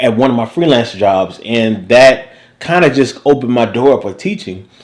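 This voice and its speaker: In a Southern US accent, a man speaks with lively intonation. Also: medium pitch for a man, moderate pace. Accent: Southern US (Georgia). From US South, Savannah, Georgia. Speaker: recording engineer and music teacher. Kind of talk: casual interview chat. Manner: animated.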